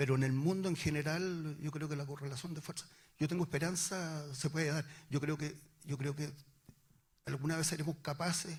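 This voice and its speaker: A man talks at a moderate pace with a fairly high, somewhat breathy voice and fairly even intonation. He takes long, frequent pauses. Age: 60s. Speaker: former political activist. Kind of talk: panel discussion. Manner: halting.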